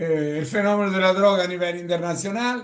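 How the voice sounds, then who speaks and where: Speaking fairly slowly in an Italian accent, a man has a high pitch with ordinary pitch variation. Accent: Italian-tinged Spanish. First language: Italian (speaking Spanish). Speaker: lecturer on drug policy. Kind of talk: lecture. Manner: halting.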